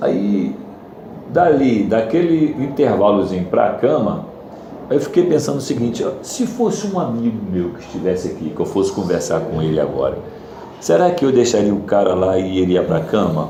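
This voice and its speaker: A man at medium pitch and moderate pace, with very wide pitch swings, audible room echo and noticeable background noise. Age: 60s. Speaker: church class member. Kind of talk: testimony. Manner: halting.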